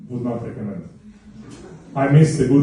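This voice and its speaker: Speaking with an Estonian accent, a man uses a medium pitch and ordinary pitch variation. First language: not English. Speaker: stand-up comedian. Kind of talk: stand-up comedy set. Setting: live venue with audience.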